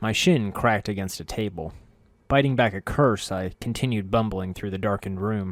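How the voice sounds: Someone reads in a natural voice, and the pitch shifts in an ordinary way.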